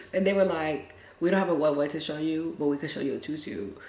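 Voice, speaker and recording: Through audible room echo, a woman with a very deep, low pitch talks at a very fast pace with lively intonation. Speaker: lifestyle vlogger and spiritual reader. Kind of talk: casual storytime.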